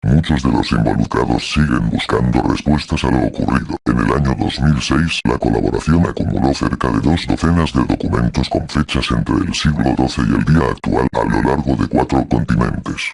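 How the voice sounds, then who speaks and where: Using a put-on character voice, a man speaks at a very deep, low pitch. He keeps a moderate pace with hardly any pauses. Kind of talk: horror narration. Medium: read story.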